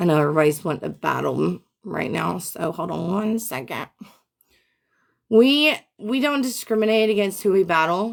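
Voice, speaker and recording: Loud and animated, a woman with an American accent and medium pitch speaks at a moderate pace with very wide pitch swings, in a very clean recording with a silent background. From Memphis, Tennessee, US South. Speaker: live streamer. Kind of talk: livestream chat.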